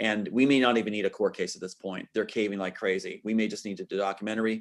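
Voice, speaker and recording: A man talks at a very fast pace, and the recording is very clean with a silent background. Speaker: screenwriter and inventor. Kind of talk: interview. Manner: animated.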